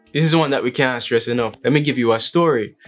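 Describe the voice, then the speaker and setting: Faint music plays in the background as a man speaks. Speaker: vlogger. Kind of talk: casual vlog chat.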